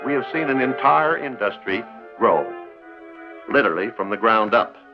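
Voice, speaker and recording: Fairly slow speech with music in the background. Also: man. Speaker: television host. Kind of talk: educational television narration.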